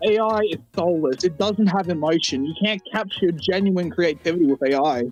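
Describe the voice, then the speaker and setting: A moderate pace with music in the background. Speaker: content creator. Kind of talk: casual chat.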